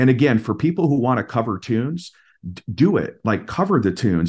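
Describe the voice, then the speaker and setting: A man with an American accent speaks at a moderate pace in a normal speaking voice. His intonation is lively. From Minnesota, US Midwest. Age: 40s. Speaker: singer-songwriter. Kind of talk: casual interview chat.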